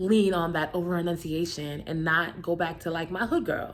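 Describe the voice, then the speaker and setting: Fairly even intonation in a Brooklyn accent, with music in the background. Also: woman. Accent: Brooklyn New York. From New York, Brooklyn. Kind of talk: casual talk to camera. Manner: fast; over-enunciating at times.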